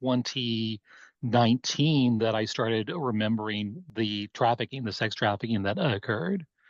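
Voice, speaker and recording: A man with a plain, everyday voice and a General American accent speaks at a medium pitch and a moderate pace, with ordinary pitch variation. The sound is dry and close with no echo, over a quiet background. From US West (Oregon). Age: 60s. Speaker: abuse survivor and life coach. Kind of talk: testimony.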